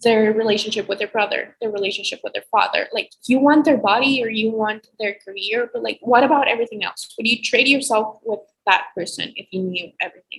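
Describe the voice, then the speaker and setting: Hardly pausing, a woman with an ordinary speaking voice talks at a fairly quick pace and fairly high pitch with ordinary pitch variation. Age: young. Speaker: college student. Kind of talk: casual chat.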